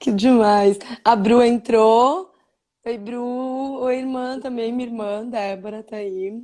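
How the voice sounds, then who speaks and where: Very slowly, a woman with fairly high pitch and a dark, mellow tone speaks, her loudness swinging widely. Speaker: live stream interviewer. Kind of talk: casual interview chat. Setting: live video stream.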